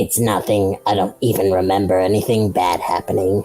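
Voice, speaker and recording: Someone does a raspy, put-on character voice at a low pitch and a moderate pace. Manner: dark, menacing-sounding reassurance.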